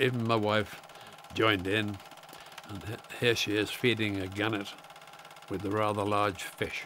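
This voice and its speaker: Over noticeable background noise, a man with a fairly low pitch speaks at a moderate pace in a monotone, flat way, leaving long, frequent pauses. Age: 80s+. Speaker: retired wildlife carer. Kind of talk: documentary interview. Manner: halting.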